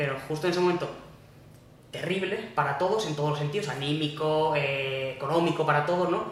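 Amid noticeable background noise and audible room echo, a man talks at a very fast pace with a fairly high pitch and ordinary pitch variation. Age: 20s. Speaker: ultramarathon runner. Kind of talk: casual interview chat.

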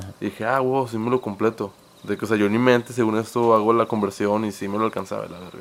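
Very fast and monotone, a man speaks in a fairly low voice with flat intonation and big swings in loudness. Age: 20s. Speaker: podcast co-host. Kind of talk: casual chat.

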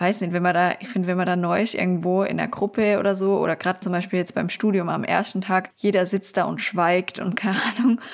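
At a very fast pace, this woman talks with a medium pitch. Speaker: podcast host and university student. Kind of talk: casual chat. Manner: animated.

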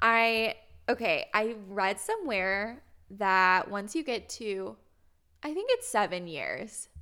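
In an American accent, a woman with a fairly high pitch and a bright, sharp tone speaks at a very slow pace on a very clean recording with a silent background. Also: ordinary pitch variation. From Indianapolis, Indiana, US Midwest. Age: 20s. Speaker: podcast co-host. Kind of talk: casual chat.

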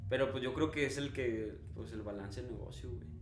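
In a Mexican accent, a man talks with lively intonation, and audible room echo surrounds his voice. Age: 20s. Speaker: entrepreneur. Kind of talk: casual chat.

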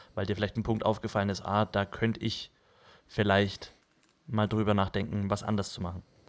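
Monotone, flat intonation and long, frequent pauses mark this fairly quick delivery, captured on a very clean recording with a silent background. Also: man, fairly low pitch for a man. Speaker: podcast co-host. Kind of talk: casual chat.

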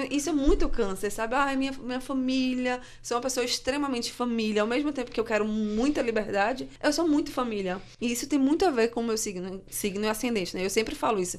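A woman speaks in a high voice at a fairly quick pace, with ordinary pitch variation and hardly any pauses. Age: 30s. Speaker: journalist, social media worker, astrology believer. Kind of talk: debate on a student radio show.

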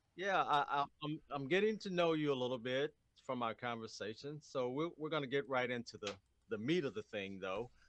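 Lively intonation runs through an ordinary speaking voice that moves at a fairly quick pace. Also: man, fairly high pitch for a man. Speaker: radio host. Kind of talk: interview.

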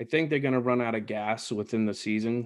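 A man speaks with an American accent in a plain, everyday voice. His pitch is medium, and his intonation is fairly even. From Boston. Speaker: podcast host. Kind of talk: casual chat.

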